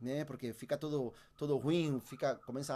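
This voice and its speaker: A man with a Uruguayan accent has a dark, mellow tone at a fairly high pitch and speaks at a moderate pace. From Uruguay, Montevideo. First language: Spanish (speaking Portuguese). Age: 30s. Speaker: percussionist. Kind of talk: interview. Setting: home studio. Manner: halting.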